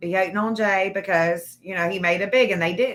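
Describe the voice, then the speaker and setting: An animated woman with a Tennessee accent speaks at a medium pitch and a moderate pace with ordinary pitch variation. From Nashville, Tennessee (Antioch). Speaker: true crime content creator. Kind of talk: casual livestream chat.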